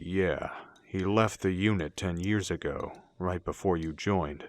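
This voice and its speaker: Putting on a growling character voice, a man speaks at a moderate pace with a very deep, low pitch and fairly even intonation. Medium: audio drama.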